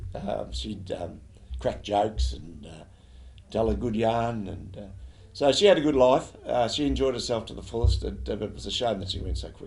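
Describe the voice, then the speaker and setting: Here a man talks at a moderate pace with an Australian accent. His loudness swings widely. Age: 70s. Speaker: football league president. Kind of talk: interview. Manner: halting, many fillers.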